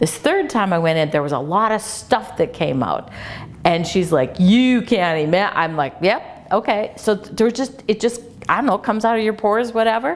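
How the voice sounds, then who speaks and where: A woman speaks with a fairly high pitch, an animated tone and very wide pitch swings. Noticeable background noise is present. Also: moderate pace. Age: 60s. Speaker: clinic patient giving testimonial. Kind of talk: testimony.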